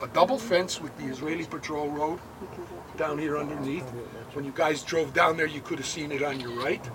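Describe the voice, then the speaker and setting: A man talking at a fairly quick pace, fairly even intonation, noticeable background noise behind him. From United States. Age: 70s. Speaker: war veteran and kibbutz tour guide. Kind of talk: guided tour talk to visitors.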